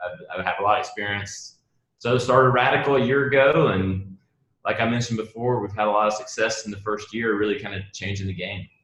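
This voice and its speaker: A man at a very fast pace, fairly low in pitch, with ordinary pitch variation. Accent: strong Southern US. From US South, South Carolina. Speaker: marketing agency founder. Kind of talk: interview. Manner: halting, repeats words.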